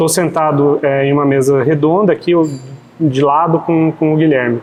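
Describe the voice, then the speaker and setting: A man's fairly high-pitched voice at a moderate pace, with very even loudness, fairly even intonation and an ordinary speaking voice. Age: 40s. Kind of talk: podcast interview. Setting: café.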